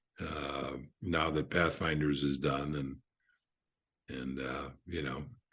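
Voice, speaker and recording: Amid audible room echo, a man with a very deep, low pitch and vocal fry speaks in a monotone, flat intonation at a very slow pace, with long, frequent pauses. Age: 70s. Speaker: author. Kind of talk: podcast interview. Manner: halting.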